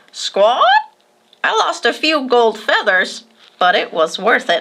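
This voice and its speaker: A female-sounding, high-pitched put-on character voice speaks at a fairly slow pace. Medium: read story. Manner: punctuates speech with squawks.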